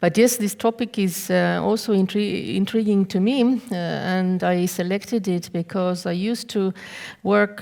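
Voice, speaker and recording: A woman speaks with a non-native accent and fairly even intonation. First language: not English. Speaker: law professor. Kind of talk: conference talk. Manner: halting; reading from notes.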